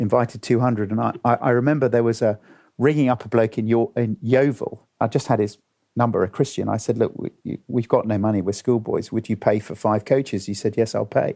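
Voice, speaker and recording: Medium-pitched male voice, dark and mellow in tone, at a fairly quick pace with fairly even intonation, in a dry, close sound with no echo. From England (raised abroad in Chile and Africa until six). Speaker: pastor and evangelist. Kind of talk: casual chat. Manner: halting, repeats words.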